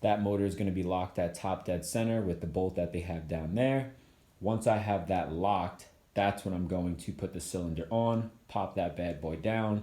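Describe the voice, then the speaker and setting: Very deep and low, the man's voice carries a dark, mellow tone and fairly even intonation on a very clean recording with a silent background. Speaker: motorcycle DIY youtuber. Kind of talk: tutorial. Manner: fast; casual.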